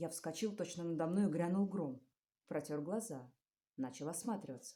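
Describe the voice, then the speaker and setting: Her intonation rises and falls in a lively way. This woman's tone is dark and mellow. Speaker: stage actress. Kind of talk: fairy tale reading.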